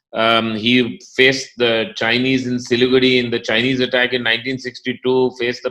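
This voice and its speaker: A man's medium-pitched, bright, sharp voice in a flat monotone at a fairly quick pace. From India, grew up in Delhi and Lucknow, South Indian family. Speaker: company chief executive. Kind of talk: interview.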